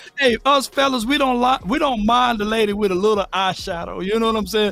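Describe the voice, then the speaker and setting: A man with a high voice talks at a fairly quick pace and with ordinary pitch variation, while noticeable noise sits behind him. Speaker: sports talk show co-host. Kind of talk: casual sports debate. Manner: loud; animated.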